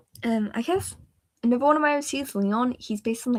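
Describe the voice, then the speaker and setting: A woman with a British accent and ordinary pitch variation. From Britain. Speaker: livestreamer and digital artist. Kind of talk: casual chat. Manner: animated.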